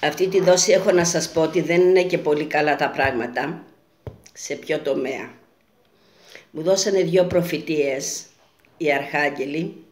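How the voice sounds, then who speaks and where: A woman with a very deep, low pitch speaks at a fairly slow pace with fairly even intonation and long, frequent pauses, and the room echo is audible. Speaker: self-styled futurologist and prophet. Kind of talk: monologue video message with prophecies. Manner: earnest, repetitive.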